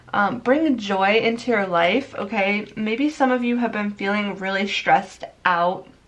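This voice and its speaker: Medium-pitched woman speaking at a fairly slow pace with hardly any pauses, ordinary pitch variation and noticeable background noise. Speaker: tarot reader. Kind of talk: pick a card tarot reading. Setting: on camera, video recording. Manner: casual, conversational.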